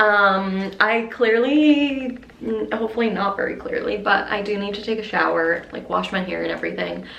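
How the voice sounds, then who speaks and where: A woman speaking with hardly any pauses amid audible room echo and noticeable background noise. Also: moderate pace. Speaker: lifestyle vlogger. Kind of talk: casual vlog talk to camera.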